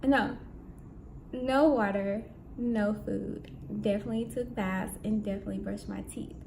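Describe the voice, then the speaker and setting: A soft-spoken woman leaves long, frequent pauses, with audible room echo and noticeable background noise around her. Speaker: vlogger on spiritual fasting. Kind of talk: casual vlog. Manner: slow.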